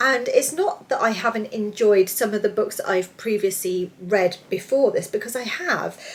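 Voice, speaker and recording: A woman talks with lively intonation at a fairly high pitch, noticeable background noise behind her. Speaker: book reviewer. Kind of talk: casual video review. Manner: fast.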